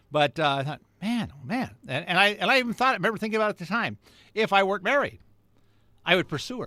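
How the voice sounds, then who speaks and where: A man's raised, projected, high voice, bright and sharp in tone, with lively intonation and a very fast pace on a very clean recording with a silent background. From Southern California. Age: 70s. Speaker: radio host. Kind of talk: radio monologue. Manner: halting, many fillers.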